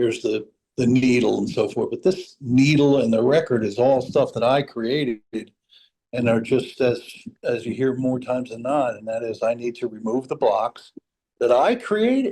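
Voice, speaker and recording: A man talks with a New England accent at a medium pitch. His tone is dark and mellow, with ordinary pitch variation and a moderate pace. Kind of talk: casual chat.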